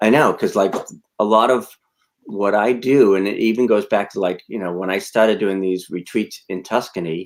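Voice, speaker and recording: In an American accent, a man with an unremarkable speaking voice talks at a moderate pace, his fairly low pitch held in fairly even intonation. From Massachusetts (Medford, Boston area). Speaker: branding coach and retreat host. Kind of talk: casual live stream chat.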